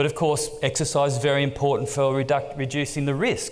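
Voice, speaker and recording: A man with an Australian accent speaks at a moderate pace, with audible room echo around him. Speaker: exercise oncology researcher. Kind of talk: conference lecture.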